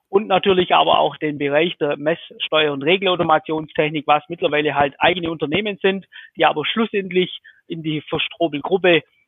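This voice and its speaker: With fairly even intonation, a man talks at a moderate speed in a fairly high voice. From Swabia, southern Germany. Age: 40s. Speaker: electrical contractor, business owner. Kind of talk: interview. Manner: hesitant, many fillers.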